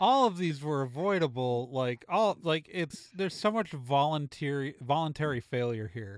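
On a very clean recording with a silent background, a man with a normal speaking voice talks at a moderate pace, his fairly high pitch shaped by lively intonation. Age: 40s. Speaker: podcast host. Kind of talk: casual chat.

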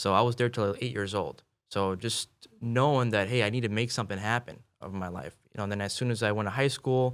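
On a very clean recording with a silent background, a man with an American accent and a normal speaking voice speaks at a fairly low pitch with fairly even intonation. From Chicago. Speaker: real estate investor. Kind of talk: podcast interview.

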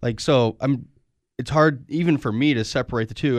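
A man speaks in a normal speaking voice at a moderate pace. His pitch varies in an ordinary way, and the background is quiet. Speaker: podcast host. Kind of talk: casual chat.

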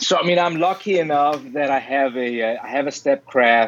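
This man speaks with a Danish accent. His pitch varies in an ordinary way. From Denmark. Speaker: software educator, former mold maker. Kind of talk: interview.

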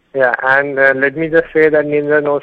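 A man speaks in an Indian accent at a moderate pace. His intonation is flat and monotone. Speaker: caller, student. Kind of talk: call-in question. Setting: phone call.

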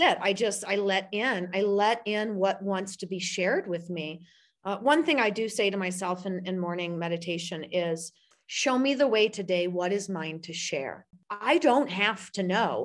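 A woman's normal speaking voice with an American accent, medium pitch, ordinary pitch variation and a moderate pace against a quiet background. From US Midwest, St. Louis, Missouri. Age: 40s. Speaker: spiritual coach and publisher. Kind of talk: casual interview chat.

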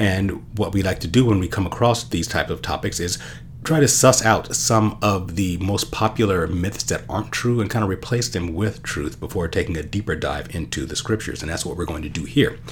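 With noticeable background noise behind him, a man talks at a fairly quick pace in a very deep, low voice, his intonation lively and hardly any pauses in between. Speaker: podcast host, Bible teacher. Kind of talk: solo teaching podcast.

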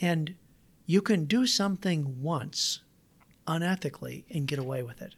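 A man with an American accent and a high pitch talks at a moderate pace with lively intonation and long, frequent pauses. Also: big swings in loudness, very clean recording, silent background. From Iowa. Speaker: entrepreneur and inventor. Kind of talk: interview.

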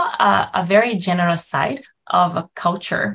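A woman speaks at a medium pitch in a Brazilian accent. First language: Portuguese. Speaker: nutrition professor. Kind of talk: interview.

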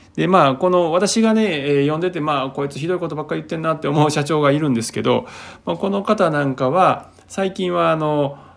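An unremarkable speaking voice at a fairly quick pace with ordinary pitch variation. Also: man, fairly high pitch for a man. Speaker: podcast host, healer. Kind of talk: solo talk monologue. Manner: relaxed, many fillers.

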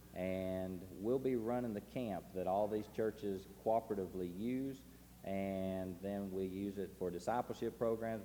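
Delivered at a moderate pace in a Tennessee accent, the voice has a dark, mellow tone and ordinary pitch variation. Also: man. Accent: Southern US (Tennessee). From Tennessee, US South. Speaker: missionary. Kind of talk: testimony to a congregation. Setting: church service. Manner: casual, folksy, with frequent uh fillers.

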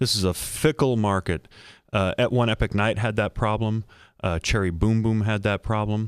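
This man has an ordinary speaking voice, fairly low in pitch, at a moderate pace. The recording is very clean with a silent background and a dry, close sound with no echo. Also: fairly even intonation. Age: 50s. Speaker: entertainment journalist. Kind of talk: casual chat.

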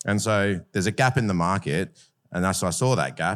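Talking at a very fast pace, a man uses an Australian accent with fairly low pitch and ordinary pitch variation. The recording is very clean, the background silent. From Adelaide, South Australia. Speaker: bar owner. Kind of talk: panel discussion.

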